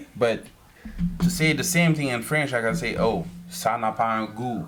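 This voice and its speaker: A man speaks with lively intonation. The recording has audible room echo and noticeable background noise. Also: medium pitch for a man, moderate pace. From Haiti. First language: Haitian Creole. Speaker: podcast guest. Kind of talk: casual interview.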